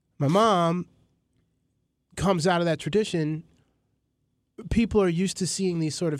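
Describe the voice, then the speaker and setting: A man with a New York accent, at a moderate pace. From New York City (Queens, Astoria). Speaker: filmmaker and hip-hop journalist. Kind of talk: casual interview chat.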